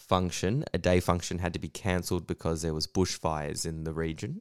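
In a very clean recording with a silent background, a man with a very deep, low pitch speaks at a moderate pace with an Australian accent. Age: 30s. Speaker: comedian. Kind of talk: casual monologue.

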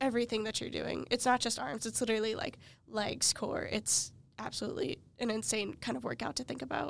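At a very fast pace, a woman speaks with a fairly high pitch, ordinary pitch variation, and vocal fry. The recording is very clean, with a silent background. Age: 20s. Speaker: college podcast host. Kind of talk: casual interview; scripted outro. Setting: studio.

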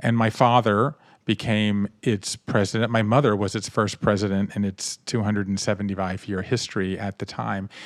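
In a very clean recording with a silent background and a dry, close sound with no echo, a man speaks at a moderate pace. His fairly low voice stays monotone and flat, with hardly any pauses. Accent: American. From US South, Savannah, Georgia. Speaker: author. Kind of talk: interview.

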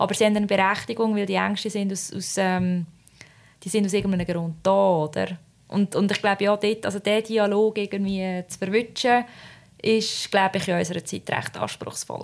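This woman speaks in a monotone with flat intonation. Her pitch is medium and her pace moderate. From Switzerland. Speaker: podcast co-host. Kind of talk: casual chat.

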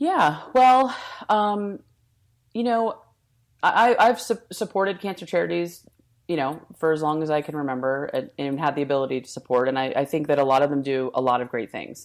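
On a very clean recording with a silent background, a woman speaks in a very deep, low pitch with very wide pitch swings. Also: moderate pace. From New Jersey, US. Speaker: entrepreneur, nonprofit founder, cancer survivor. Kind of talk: interview, personal story. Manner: frequent fillers and restarts.

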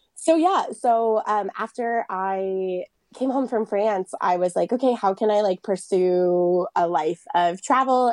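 A woman with an American accent has a plain, everyday voice and lively intonation. The sound is dry and close with no echo. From Lake Tahoe, US West. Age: 30s. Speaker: boudoir photographer. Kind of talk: casual interview chat.

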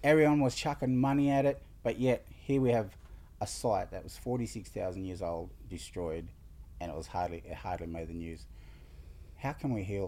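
Speaking with an Australian accent at a moderate pace, a man has a fairly low pitch and a dark, mellow tone. His pitch swings very widely and his loudness shifts in big swings. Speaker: community podcast host. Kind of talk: interview.

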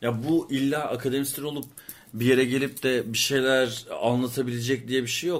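Moderately paced speech from a man, medium in pitch, with monotone, flat intonation. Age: 30s. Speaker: art historian and podcast co-host. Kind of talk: casual chat.

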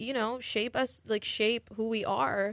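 A woman with a normal speaking voice, medium in pitch with fairly even intonation, is captured in a very clean recording with a silent background. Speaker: college radio host. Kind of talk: casual chat. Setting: studio.

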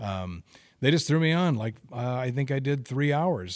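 Someone with an American accent speaks at a moderate pace in an ordinary speaking voice. The recording is very clean, with a silent background. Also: man. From Oregon, Albany. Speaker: sports broadcaster. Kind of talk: casual chat.

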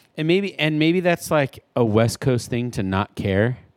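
A man speaks at a moderate pace in an ordinary speaking voice. The sound is dry and close, with no echo. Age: 30s. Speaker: podcast co-host. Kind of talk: casual chat.

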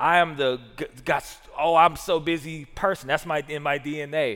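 This is a man speaking with a Southern US accent. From US South. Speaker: pastor. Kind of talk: sermon.

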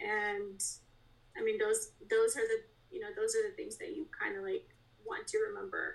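A woman with an American accent speaks at a moderate pace, broken by long, frequent pauses. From Russia, adopted to US around age 11. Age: 30s. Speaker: podcast guest sharing adoption story. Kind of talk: personal testimony.

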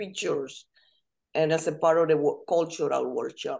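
A woman with a Spanish accent at a moderate pace. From Dominican Republic. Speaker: language instructor. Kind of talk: casual chat.

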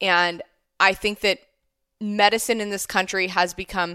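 A woman with a Midwestern accent, medium pitch, a bright, sharp tone, and monotone, flat intonation, in a very clean, dry, close recording with a silent background and no echo. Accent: American Midwestern. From US Midwest, Ohio. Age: 30s. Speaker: physician assistant. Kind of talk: casual chat.

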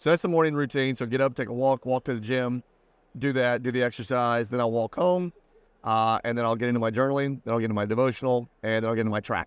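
In an American accent, a man talks at a very fast pace with fairly even intonation, the sound dry and close with no echo and the background quiet. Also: medium pitch for a man. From US Midwest, Indiana. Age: 40s. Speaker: business coach. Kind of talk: casual interview chat.

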